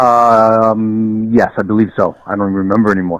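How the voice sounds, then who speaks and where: A man speaks in a normal speaking voice with an American accent at a moderate pace. His intonation is fairly even, and the sound is dry and close with no echo. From New York. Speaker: stadium creator and fan. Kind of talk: casual chat. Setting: phone call.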